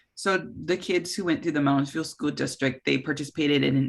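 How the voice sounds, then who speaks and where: Fairly quick speech with an Upper Midwest accent. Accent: Upper Midwest American. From Minnesota, Coon Rapids. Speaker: oral history interviewer. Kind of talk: oral history interview.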